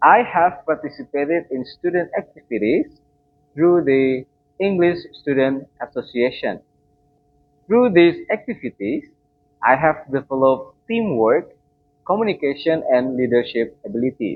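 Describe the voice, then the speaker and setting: With an Indonesian accent, a man talks at a fairly slow pace with long, frequent pauses. His pitch is fairly high, and his intonation is lively. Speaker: student. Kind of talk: class presentation. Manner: formal.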